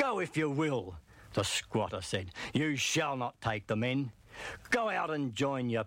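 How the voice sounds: The text comes in a natural reading voice. Pitch shifts in an ordinary way.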